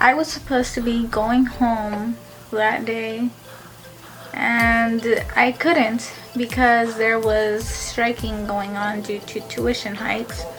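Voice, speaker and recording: Music plays in the background as a woman speaks at a very slow pace. Her fairly high pitch stays monotone and flat. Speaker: college student. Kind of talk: casual talk to camera.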